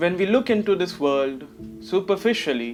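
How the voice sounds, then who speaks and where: Music sounds in the background as a man speaks. His pace is moderate and his pitch swings very widely. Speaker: poet. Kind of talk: spoken word introduction.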